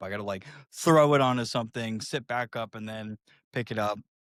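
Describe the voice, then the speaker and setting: A man talks at a fairly quick pace in an ordinary speaking voice. The recording is very clean, with a silent background. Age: 30s. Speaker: podcast guest, wheelchair user with paralysis. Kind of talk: casual interview chat. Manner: casual, filler-heavy.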